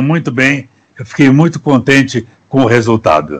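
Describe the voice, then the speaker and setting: This man's voice has vocal fry, a fairly high pitch, fairly even intonation and a moderate pace. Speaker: actor. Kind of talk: interview answer. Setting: video call.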